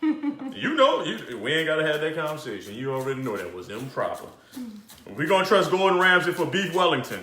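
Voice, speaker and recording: Talking at a fairly quick pace, this man has a fairly high pitch and very wide pitch swings, with audible room echo and noticeable background noise. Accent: New Orleans. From New Orleans, Louisiana. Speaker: chef, cooking show host. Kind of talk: live cooking show. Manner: animated; fast.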